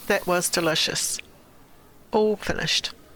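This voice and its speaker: A woman's fairly low voice in a New Zealand accent, at a fairly slow pace. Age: 50s. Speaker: lifestyle vlogger. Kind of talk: vlog narration.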